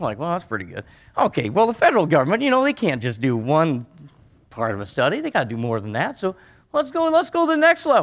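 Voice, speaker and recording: On a very clean recording with a silent background, a man with a rural western US accent speaks at a very fast pace. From Montana. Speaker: rancher. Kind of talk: conference speech. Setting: stage with audience. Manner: animated.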